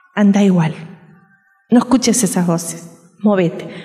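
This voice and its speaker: Audible room echo around a woman's very slow speech. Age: 60s. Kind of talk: sermon.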